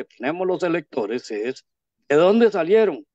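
Against a quiet background, a man with a Costa Rican accent talks at a moderate pace with lively intonation. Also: dry sound with no echo. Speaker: interviewer. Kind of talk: interview. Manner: formal. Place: home room. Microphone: video call.

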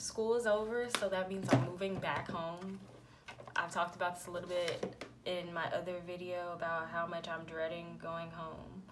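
A woman talks at a moderate speed while loud noise fills the background. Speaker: beauty vlogger. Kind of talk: casual vlog chat. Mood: relaxed, reflective. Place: home room. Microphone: phone near.

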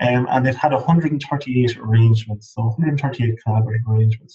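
Against a quiet background, a man with an Irish accent speaks at a moderate pace. His medium-pitched voice is somewhat breathy, with fairly even intonation. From Ireland, Midlands; Ireland. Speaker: PhD researcher in agriculture; webinar presenter. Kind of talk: lecture. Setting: webinar. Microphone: video call.

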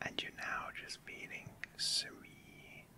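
A very slow, whispered delivery from a man. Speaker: ASMR creator. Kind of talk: guided relaxation. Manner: gentle, soft-spoken. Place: home room. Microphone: studio mic.

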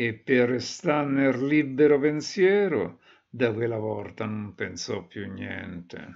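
With a Roman accent, a man at medium pitch talks at a very slow pace. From Rome, Italy.

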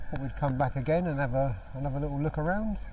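With light background noise, a man's voice comes across dry with no echo. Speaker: walking tour vlogger. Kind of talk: casual vlog chat. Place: street. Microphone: phone near.

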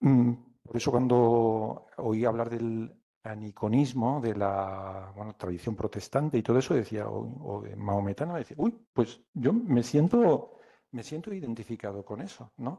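Speech with a dark, mellow tone moves at a very slow pace, with ordinary pitch variation and big swings in loudness, over a quiet background. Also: man. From Alicante, Spain; Spain. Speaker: poet. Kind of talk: poetry reading and talk. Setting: live event with audience. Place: classroom. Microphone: podium.

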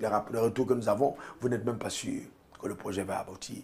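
At a moderate pace, a man is talking. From Cameroon. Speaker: pastor. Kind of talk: TV interview. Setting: studio. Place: studio. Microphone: lapel.

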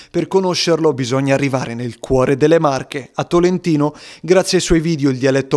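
A man has an unremarkable speaking voice, fairly high in pitch, with ordinary pitch variation. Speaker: TV news reporter. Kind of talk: TV news report narration.

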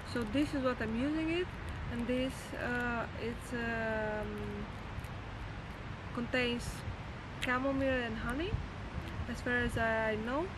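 Soft-spoken and slow, a woman talks at a fairly high pitch with ordinary pitch variation over clear background noise.

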